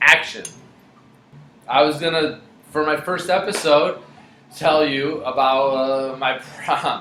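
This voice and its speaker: A man speaks fairly slowly with long, frequent pauses, his fairly high pitch held in fairly even intonation. Noticeable background noise runs underneath. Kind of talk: story time. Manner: casual, profane.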